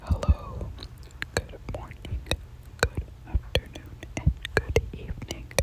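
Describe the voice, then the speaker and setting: Someone whispers at a very slow pace with long, frequent pauses over noticeable background noise. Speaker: ASMR creator. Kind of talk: scary story reading. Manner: whispered.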